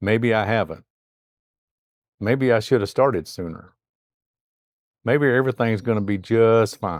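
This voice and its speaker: A man speaks at a fairly slow pace with a medium pitch and ordinary pitch variation. The sound is dry and close, with no echo. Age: 60s. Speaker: retirement vlogger. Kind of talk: personal vlog monologue. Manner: conversational.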